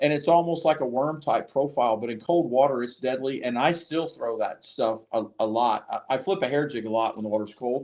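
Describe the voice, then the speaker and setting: This man has an ordinary speaking voice with an American accent, medium pitch, ordinary pitch variation, and a fairly quick pace. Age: 60s. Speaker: fishing podcast host and tackle business owner. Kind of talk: casual chat.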